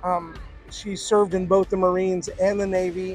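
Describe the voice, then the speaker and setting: A high-pitched man at a moderate pace, dry sound with no echo, faint music in the background. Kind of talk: interview answer. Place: open country. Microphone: lapel.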